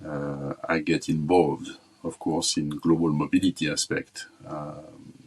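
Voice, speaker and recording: A man talks at a fairly slow pace in a very deep, low voice with flat, monotone intonation. Noticeable background noise runs underneath. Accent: French. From France. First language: French. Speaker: corporate talent management executive. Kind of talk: interview. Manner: halting, many fillers and repetitions.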